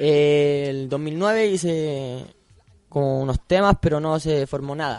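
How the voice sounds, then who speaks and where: There is noticeable background noise. A man speaks at a fairly high pitch with ordinary pitch variation. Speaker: rapper. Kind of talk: radio interview. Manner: casual, slangy.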